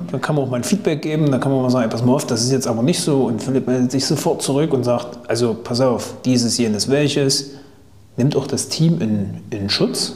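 In a room with audible echo and noticeable background noise, a man speaks fairly quickly at medium pitch with ordinary pitch variation. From Thuringia, Germany. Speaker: podcast host. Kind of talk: casual interview.

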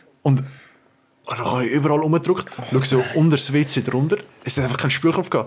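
Very fast speech comes from a man with a Swiss accent. His pitch is fairly high, with ordinary variation. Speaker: podcast co-host, intern. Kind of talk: casual chat.

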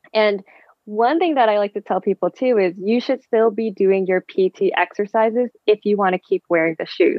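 Her pitch variation is ordinary. The woman talks at a moderate pace. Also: fairly high pitch for a woman. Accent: Californian. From San Francisco Bay Area, US. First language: Vietnamese. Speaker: physical therapist and amateur marathon runner. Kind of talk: casual interview chat.

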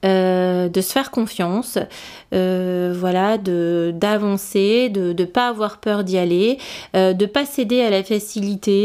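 A very slow pace with fairly even intonation. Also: woman. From northern France. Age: 40s. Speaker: fashion brand founder. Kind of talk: interview testimony. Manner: halting, many fillers; passionate.

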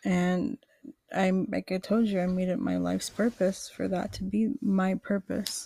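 On a very clean recording with a silent background, a woman with an American accent speaks fairly slowly, somewhat breathy and dark, mellow in tone. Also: medium pitch for a woman, fairly even intonation, dry, close sound with no echo. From Queens, New York. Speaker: podcast co-host. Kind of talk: casual chat.

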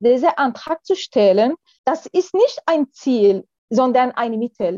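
With an Arabic accent, a woman speaks at a fairly slow pace in a high pitch that swings very widely, the sound dry and close with no echo. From Syria. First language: Arabic (speaking German). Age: 40s. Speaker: lawyer. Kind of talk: interview. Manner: halting.

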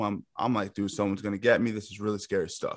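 A man talks with a New York accent. The background is quiet. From Yonkers, New York. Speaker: MMA coach. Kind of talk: casual chat.

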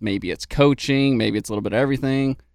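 A man's fairly even intonation on a very clean recording with a silent background. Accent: Texan. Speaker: podcast co-host. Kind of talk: casual chat.

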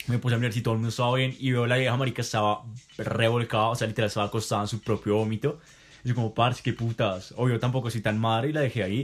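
A man at medium pitch, very fast and monotone, with flat intonation. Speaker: podcast host. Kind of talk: casual chat.

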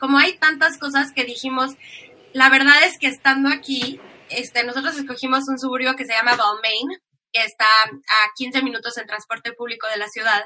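Her voice raised and projected, a woman speaks at a high pitch and moderate pace with ordinary pitch variation. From Mexico. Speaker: emigrant interviewee. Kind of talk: casual interview.

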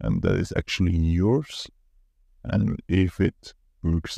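With a non-native accent, a man speaks very slowly in a very deep, low pitch and a dark, mellow tone, the sound dry and close with no echo. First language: not English. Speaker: solo podcaster; corporate employee who interviews candidates. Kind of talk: solo reflective monologue. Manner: casual, somewhat halting.

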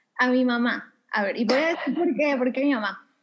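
A woman speaks in a high-pitched voice. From Mexico City. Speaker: yoga instructor and manifestation coach. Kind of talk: interview conversation.

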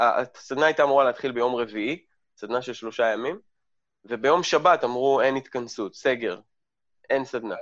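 Against a quiet background, a man at medium pitch talks at a moderate pace with ordinary pitch variation and long, frequent pauses. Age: 40s. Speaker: lecturer and habits coach. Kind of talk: interview conversation. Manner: blunt, direct.

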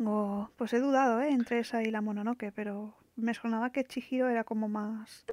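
A woman's fairly high, monotone voice with flat intonation and hardly any pauses, in a dry, close sound with no echo. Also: moderate pace. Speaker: podcast co-host. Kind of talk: casual chat, film trivia quiz.

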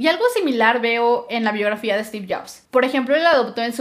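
A woman's plain, everyday voice, fairly high in pitch, at a moderate pace. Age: 20s. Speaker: podcaster. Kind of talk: solo podcast monologue.

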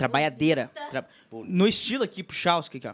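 This man speaks with lively intonation. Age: 30s. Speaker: podcast host. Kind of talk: casual chat.

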